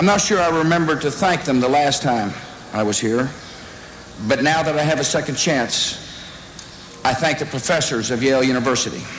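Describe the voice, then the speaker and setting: With a Texan accent, a man speaks with ordinary pitch variation, very even loudness and long, frequent pauses, over light background noise and audible room echo. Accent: Texan drawl. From Texas. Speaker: politician. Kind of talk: commencement speech. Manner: humorous, self-deprecating. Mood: humorous, self-deprecating. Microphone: podium.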